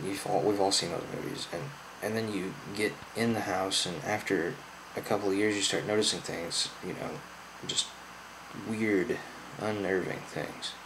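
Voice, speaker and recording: In an American accent, a man talks at a fairly slow pace with a fairly low pitch, fairly even intonation and long, frequent pauses. Noticeable background noise and audible room echo are present. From US Midwest, Southern Illinois. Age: 20s. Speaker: YouTuber. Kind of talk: personal testimony. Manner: slurred.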